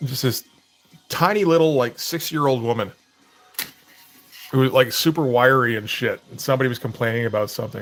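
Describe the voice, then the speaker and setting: A man with a slight Canadian accent, medium pitch and ordinary pitch variation, fairly quick but with long, frequent pauses, music in the background. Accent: slight slur, self-described as Canadian. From Canada. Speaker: comic artist livestreamer. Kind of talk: casual livestream chat while drawing. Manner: casual, hesitant with fillers.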